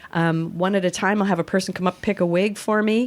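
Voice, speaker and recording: A woman talks at a fairly quick pace with an American accent. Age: 60s. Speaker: actor and comedian. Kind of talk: casual chat. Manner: animated.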